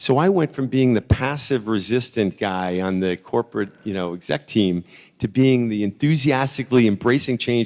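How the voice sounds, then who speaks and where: With a normal speaking voice at a medium pitch, a man talks at a moderate pace with lively intonation and hardly any pauses. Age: 60s. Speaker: sales executive. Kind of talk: conference talk. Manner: conversational, with repeated false starts.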